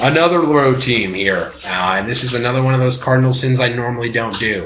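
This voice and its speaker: A man with a medium pitch and ordinary pitch variation talks fairly quickly while noticeable background noise is heard. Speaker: graduate student; sports picks commentator. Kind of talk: casual talk to camera. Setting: laptop webcam.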